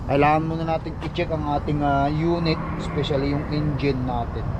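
Against noticeable background noise, a man speaks at a fairly quick pace with a fairly high pitch. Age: 40s. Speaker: truck driver vlogger. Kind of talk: casual vlog.

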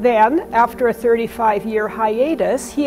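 Faint music sits in the background as a woman speaks. Her pitch variation is ordinary. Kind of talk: exhibition tour presentation. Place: hall. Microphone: lapel.

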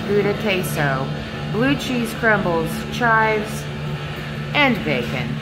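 With loud music in the background, a woman speaks at a fairly slow pace. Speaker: vlogger reviewing a restaurant. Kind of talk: casual vlog chat. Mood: cheerful, playful. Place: cafe. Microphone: phone near.

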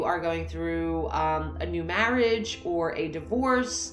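Faint music plays in the background as a woman speaks at a very slow pace with audible room echo. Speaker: coach. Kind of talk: motivational talk to camera. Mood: warm, encouraging. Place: home room. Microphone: phone near.

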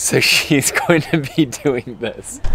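Light background noise under a man's dry voice, no echo at all. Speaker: vlogger. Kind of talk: casual vlog chat. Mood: joking, playful. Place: street.

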